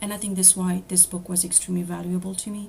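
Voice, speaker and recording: Over noticeable background noise, a woman with a French accent speaks in a medium pitch with monotone, flat intonation. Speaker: apprentice spiritual counselor. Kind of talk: presentation. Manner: hesitant, many fillers.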